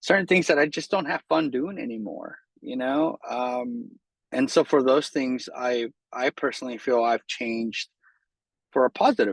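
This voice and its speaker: A man's medium-pitched, normal speaking voice at a fairly slow pace, dry and close with no echo, over a quiet background. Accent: American. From San Jose, California. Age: 40s. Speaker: art studio owner. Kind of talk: interview answer.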